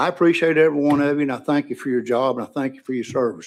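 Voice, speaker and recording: Someone with an East Tennessee accent talks at a very fast pace with fairly even intonation, on a very clean recording with a silent background. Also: man. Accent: Upper East Tennessee. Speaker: witness testifying on a bill, veteran. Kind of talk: legislative testimony. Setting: committee hearing room.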